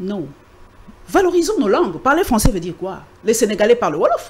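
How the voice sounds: A woman speaks at a moderate pace. Her fairly high pitch moves in big swings.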